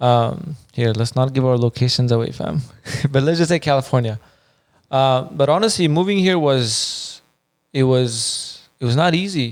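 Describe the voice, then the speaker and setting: Moderate pace from a man at medium pitch, with ordinary pitch variation and very even loudness. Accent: Iranian. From Afghanistan (Kabul). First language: Farsi. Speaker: podcast co-host. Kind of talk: casual chat.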